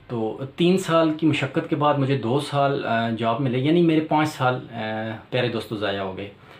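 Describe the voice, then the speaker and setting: A man talks at a medium pitch with ordinary pitch variation. Room echo is audible. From Pakistan, Rawalpindi. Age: 40s. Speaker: electrician and YouTuber. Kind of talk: channel introduction monologue. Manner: hesitant with filler sounds.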